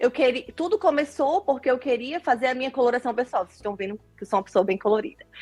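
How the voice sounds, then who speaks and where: A woman with a northeastern Brazilian accent talks very fast at a high pitch, with lively intonation and hardly any pauses. Her loudness swings widely, and the sound is dry and close with no echo. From Northeast Brazil, Natal. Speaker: nurse turned image consultant. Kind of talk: interview.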